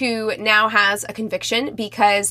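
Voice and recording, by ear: A passage read aloud in a natural voice.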